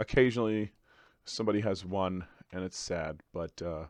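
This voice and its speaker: A man speaks at a moderate pace, with a dry, close sound and no echo. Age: 30s. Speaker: gaming YouTuber interviewer. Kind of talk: casual interview. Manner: animated.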